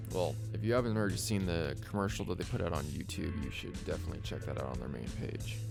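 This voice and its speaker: Music plays in the background as a man speaks at a moderate pace. His pitch is fairly low, with ordinary pitch variation. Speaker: voice actor. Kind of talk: casual reading of game ship announcement with commentary. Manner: casual, unpolished.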